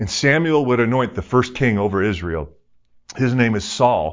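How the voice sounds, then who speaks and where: A man's plain, everyday voice at medium pitch, with lively intonation. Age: 50s. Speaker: pastor, former pro hockey player. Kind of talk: sermon.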